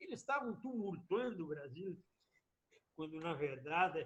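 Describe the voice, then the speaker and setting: A man's voice with very wide swings in pitch. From southern Brazil, Rio Grande do Sul (Missões region). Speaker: former politician. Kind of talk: interview testimony. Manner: animated.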